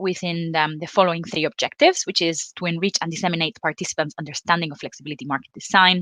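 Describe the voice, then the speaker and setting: Very fast speech from a woman with a Spanish accent, fairly low in pitch, with a bright, sharp tone. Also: dry, close sound with no echo. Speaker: energy policy representative, panel moderator. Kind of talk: panel moderation. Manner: hesitant, many fillers.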